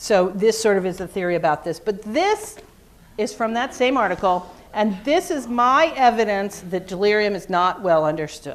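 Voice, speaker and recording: A woman has a normal speaking voice at medium pitch. She talks at a moderate pace with lively intonation. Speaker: physician and psychiatrist. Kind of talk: lecture. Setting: conference room presentation.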